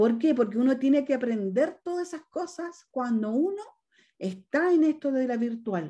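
A woman's dark, mellow voice moves at a moderate pace with very wide pitch swings. The background is quiet. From northern Chile. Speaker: direct sales leader. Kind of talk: testimony. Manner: animated. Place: home room. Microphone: video call.

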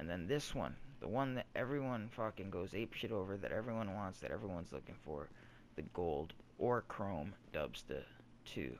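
With vocal fry, a man speaks at a fairly low pitch that swings very widely. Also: moderate pace. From Toronto, Canada. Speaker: gaming YouTuber. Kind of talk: gameplay commentary tutorial. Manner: animated.

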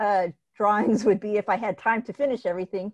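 Against a quiet background, a woman is talking. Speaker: panelist. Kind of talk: panel presentation. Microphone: video call.

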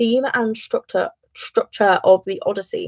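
Against a quiet background, someone speaks with a British accent and lively intonation. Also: woman. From England. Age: young. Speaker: A-level student. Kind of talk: casual study livestream talk to camera. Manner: rushed. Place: home room. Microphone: webcam.

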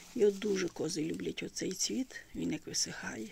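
Light background noise sits under the voice. The sound is dry, with no echo. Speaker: rural goat keeper vlogger. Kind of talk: casual vlog chat. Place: farm machine. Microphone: phone near.

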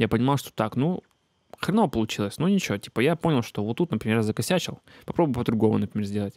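Against a quiet background, a man with a medium pitch races along at a very fast pace with lively intonation, the sound dry with no echo. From Siberia, Russia (Achinsk); Siberia, Russia. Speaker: beatmaker and music teacher; music teacher. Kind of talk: casual talk to camera. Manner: many filler hesitations. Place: home room. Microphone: handheld.

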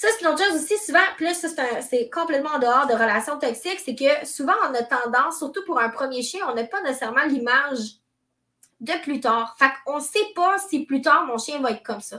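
In a Quebec accent, a woman uses a raised, projected voice with a bright, sharp tone. Her pitch is high, and the background is quiet. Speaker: dog trainer; dog trainer hosting a live stream. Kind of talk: live stream talk. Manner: conversational. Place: home room. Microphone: webcam.

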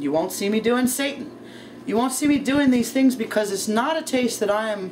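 A woman with a high voice talks at a moderate pace over light background noise. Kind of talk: casual cooking vlog chat. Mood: relaxed, laughing. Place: kitchen. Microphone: camera far.

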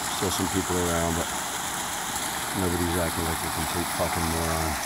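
Loud background noise surrounds a man as he talks. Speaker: hiker vlogger. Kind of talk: casual vlog chat. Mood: annoyed about trash and crowds. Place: forest. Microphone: phone near.

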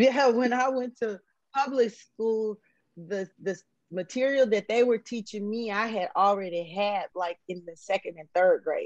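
The voice moves at a fairly slow pace with ordinary pitch variation and big swings in loudness. The sound is dry with no echo, over a quiet background. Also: woman, fairly high pitch for a woman. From Huntsville, Alabama, US South. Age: 50s. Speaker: former drug dealer sharing life story. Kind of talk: interview testimony. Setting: video call. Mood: reflective, candid. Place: home room. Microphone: video call.

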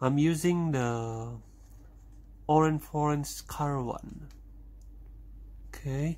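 There is light noise in the background. The voice belongs to a man. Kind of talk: casual tutorial narration.

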